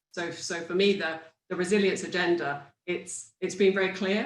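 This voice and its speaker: A woman speaks in a British accent at a moderate pace, her pitch fairly low. Room echo is audible. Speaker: industry panelist. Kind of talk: panel discussion. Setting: virtual conference.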